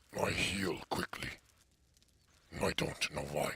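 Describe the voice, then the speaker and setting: A man's raspy, very deep put-on character voice at a fairly slow pace. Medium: game stream. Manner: terse, short sentences.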